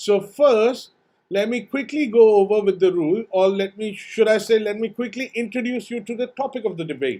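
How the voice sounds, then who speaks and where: A man's high-pitched voice with a dark, mellow tone, ordinary pitch variation and a moderate pace. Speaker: debate moderator. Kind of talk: hosting a live online debate. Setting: live stream video call.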